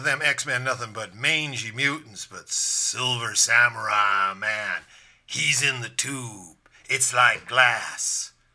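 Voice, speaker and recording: Doing a put-on character voice, a man speaks at a very slow pace with a raspy, medium-pitched sound. His loudness swings widely. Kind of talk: laid-back slang. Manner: relaxed surfer drawl.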